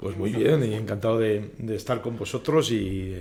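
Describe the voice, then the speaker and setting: Speaking at a moderate pace with a Spanish accent, a man with a fairly low pitch sounds somewhat breathy against audible room echo. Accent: Spanish (Spain). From Spain. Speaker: HR company executive. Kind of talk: podcast interview. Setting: studio.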